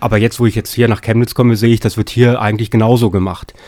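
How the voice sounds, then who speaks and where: A man's fairly low, dark and mellow voice with fairly even intonation. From Lower Saxony, Germany. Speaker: political science professor. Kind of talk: interview. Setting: studio. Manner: hesitant with fillers.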